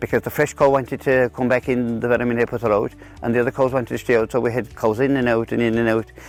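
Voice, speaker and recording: A man with a Kerry accent, very fast and monotone, his intonation flat. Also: medium pitch for a man. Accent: Irish, Kerry. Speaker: dairy farmer. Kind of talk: interview answer. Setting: outdoors. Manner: hesitant, repeats words.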